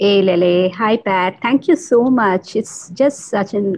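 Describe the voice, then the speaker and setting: Her intonation lively and her pitch medium, a woman speaks at a fairly slow pace. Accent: Bengali. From India (Bengali). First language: Bengali. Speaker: podcast guest, mindfulness practitioner. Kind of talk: casual interview.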